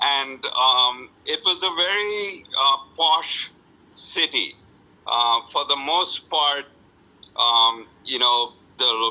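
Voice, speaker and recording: A man with a Bengali accent speaks at a very slow pace. His intonation is lively. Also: fairly high pitch for a man. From India, Calcutta (West Bengal). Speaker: author. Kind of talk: interview. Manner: hesitant, many fillers.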